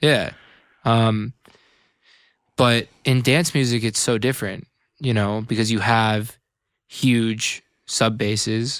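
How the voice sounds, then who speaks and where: With an American accent, a man speaks at medium pitch and a very slow pace, with long, frequent pauses and fairly even intonation. The recording is very clean, with a silent background. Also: very even loudness. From Northern California, Bay Area. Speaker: electronic music producer and radio host. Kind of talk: casual chat. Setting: studio.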